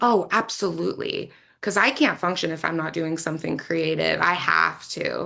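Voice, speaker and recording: Noticeable background noise is present as a woman talks. Her tone is energetic and her pace moderate. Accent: American. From Arizona, US. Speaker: actress and pop singer. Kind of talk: interview.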